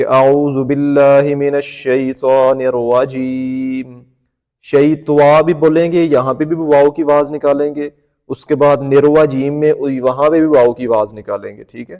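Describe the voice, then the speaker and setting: The man's fairly high voice has a dark, mellow tone and monotone, flat intonation. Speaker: Quran teacher. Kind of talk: tutorial.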